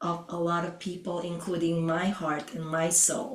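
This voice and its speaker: Speaking fairly slowly, a woman has a non-native accent. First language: not English. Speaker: podcast co-host and Oriental medicine doctor. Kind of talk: podcast conversation. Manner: hesitant, with frequent fillers.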